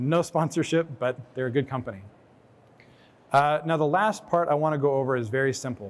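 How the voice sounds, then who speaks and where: Pitch sits fairly high for this man, with ordinary pitch variation. He speaks at a fairly quick pace. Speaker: director of operations presenting a case study. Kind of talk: conference presentation. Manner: fast.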